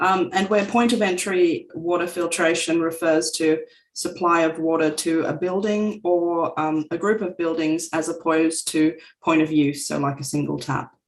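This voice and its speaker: Fairly low-pitched woman's voice in an Australian accent, with fairly even intonation at a moderate pace. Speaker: company representative presenting technology. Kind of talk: webinar presentation.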